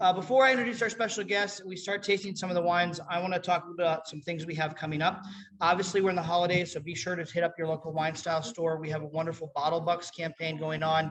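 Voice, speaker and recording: Hardly any pauses break the very fast pace, with noticeable background noise behind. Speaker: wine shop owner hosting tasting event. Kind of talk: event introduction, casual presentation.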